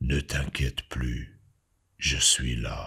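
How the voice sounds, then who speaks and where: A man puts on a character voice with a very deep, low pitch. He speaks at a very slow pace. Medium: read story. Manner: calm, reassuring.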